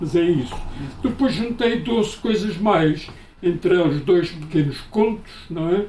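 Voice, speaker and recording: Against noticeable background noise, a man with a high pitch speaks with lively intonation. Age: 70s. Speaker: author, retired teacher and school inspector. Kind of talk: book launch interview. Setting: book presentation with audience.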